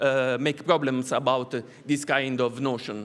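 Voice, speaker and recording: A man talks with an Italian accent at a moderate pace. His pitch sits fairly high. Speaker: art academy professor and curator. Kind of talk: conference talk. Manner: halting, many hesitations.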